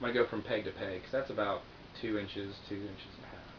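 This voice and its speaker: The speech comes very fast, with audible room echo and noticeable background noise. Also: man. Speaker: guitar teacher. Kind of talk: tutorial. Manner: casual.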